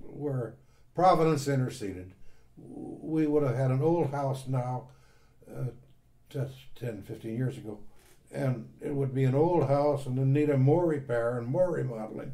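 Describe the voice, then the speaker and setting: Speaking at a fairly slow pace with an American accent, a man has a medium-pitched, dark, mellow and somewhat breathy voice. His pitch varies in an ordinary way, and audible room echo surrounds him. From US Midwest, northwest Indiana. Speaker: retired university staff member. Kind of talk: oral history interview. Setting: at home.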